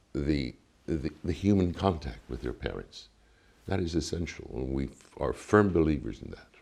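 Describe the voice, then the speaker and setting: This man has a very deep, low pitch with vocal fry, ordinary pitch variation, big swings in loudness and a moderate pace. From Cuba. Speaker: ambassador. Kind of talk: interview. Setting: embassy. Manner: formal.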